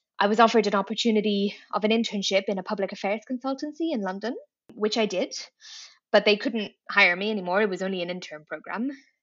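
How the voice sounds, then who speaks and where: A woman with a Dublin accent at a medium pitch, with ordinary pitch variation and a very fast pace. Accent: Dublin Irish. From Ireland, Dublin. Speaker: tech public affairs manager. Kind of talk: interview. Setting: video call.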